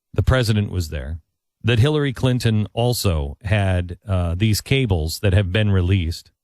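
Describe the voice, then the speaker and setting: Using a normal speaking voice, a man talks at a moderate pace with a fairly low pitch and lively intonation, captured on a very clean recording with a silent background. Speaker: talk show host. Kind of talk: radio talk show interview.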